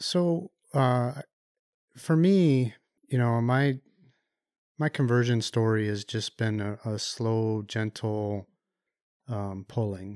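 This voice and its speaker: A man with an American accent speaks at a very slow pace with long, frequent pauses, a medium pitch and ordinary pitch variation, in a dry, close sound with no echo on a very clean recording with a silent background. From US Midwest, Chicago area. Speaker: automotive engineer and youth ministry volunteer. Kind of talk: faith testimony interview. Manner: halting, many fillers.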